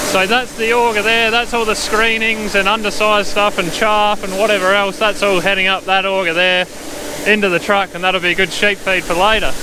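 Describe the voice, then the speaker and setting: A man with an Australian accent, high-pitched and raised in a projected voice, at a fairly quick pace with monotone, flat intonation, amid noticeable background noise. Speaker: farmer. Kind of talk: tutorial. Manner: loud.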